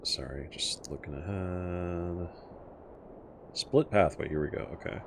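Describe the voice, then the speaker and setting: This man has a very deep, low pitch with ordinary pitch variation. His pace is fairly slow. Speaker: streamer playing video games. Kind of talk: live gameplay commentary. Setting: live stream. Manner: casual, mumbling to himself at times.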